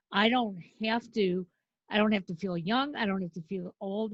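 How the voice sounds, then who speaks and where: A somewhat breathy woman speaks at a medium pitch with ordinary pitch variation and a moderate pace. The sound is dry and close, with no echo. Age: 70s. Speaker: event producer. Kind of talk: podcast interview.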